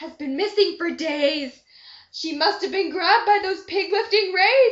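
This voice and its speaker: A woman uses a shrill, put-on character voice at an extremely high pitch. She speaks at a moderate pace with big swings in loudness. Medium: read story. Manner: panicky.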